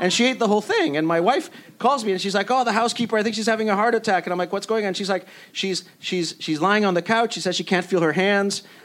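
Very fast, high-pitched male speech with ordinary pitch variation. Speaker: TV writer. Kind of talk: panel discussion.

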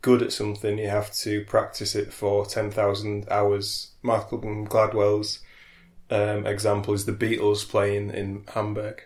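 Somewhat breathy, flat and monotone speech at a fairly slow pace. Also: man, fairly low pitch for a man. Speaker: podcast co-host. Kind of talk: casual chat.

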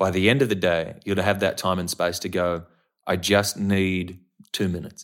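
In an Australian accent, the voice comes through on a very clean recording with a silent background. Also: man. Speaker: actor. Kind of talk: casual chat. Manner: animated.

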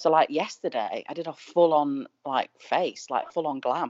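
A woman's very deep, low voice with a Mancunian accent. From Manchester. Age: 40s. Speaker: Instagram influencer. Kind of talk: casual chat.

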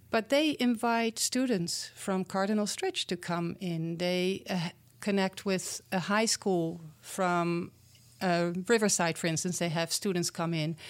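A woman speaks with a Dutch accent at a medium pitch and a fairly slow pace, with ordinary pitch variation. The recording is very clean, with a silent background. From Netherlands. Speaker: community program founder. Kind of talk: interview.

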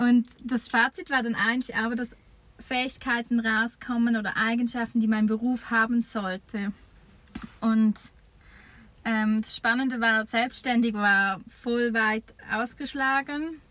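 A woman with a fairly high pitch speaks at a fairly slow pace, with fairly even intonation and long, frequent pauses. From eastern Switzerland. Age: 30s. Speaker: campsite owner. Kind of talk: interview. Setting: campsite, improvised recording booth.

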